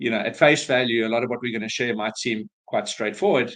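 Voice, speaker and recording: Against a quiet background, a man with a South African accent talks at medium pitch with fairly even intonation. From South Africa, Cape Town. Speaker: business valuation advisor. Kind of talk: webinar presentation. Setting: online webinar.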